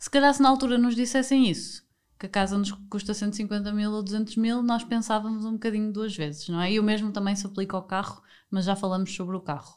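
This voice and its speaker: A woman with a plain, everyday voice, fairly high in pitch, at a fairly quick pace with ordinary pitch variation, in a very clean recording with a silent background. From northern Portugal, Porto. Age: 30s. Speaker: podcast host. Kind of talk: casual chat.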